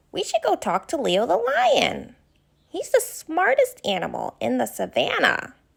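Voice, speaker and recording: This female-sounding voice is a put-on character voice with a warm tone, moving at a moderate pace. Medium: read story. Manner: warm, friendly.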